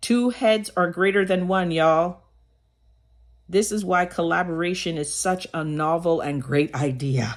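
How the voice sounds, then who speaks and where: Pitch varies in an ordinary way while the delivery runs fairly slowly. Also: woman, fairly low pitch for a woman, very clean recording, silent background. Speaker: motivational vlogger. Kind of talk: motivational talk. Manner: loud.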